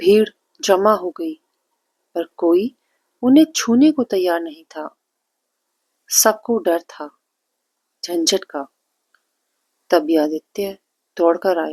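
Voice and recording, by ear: Slow speech with long, frequent pauses, a slightly mellow tone, a slightly husky edge and ordinary pitch variation, in a dry, close sound with no echo. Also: woman, fairly low pitch for a woman.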